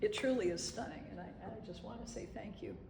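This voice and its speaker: Amid noticeable background noise and audible room echo, the woman talks at a moderate pace. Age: 60s. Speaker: photographer. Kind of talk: artist talk to gallery audience. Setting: gallery with live audience. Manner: conversational with frequent fillers and repeats.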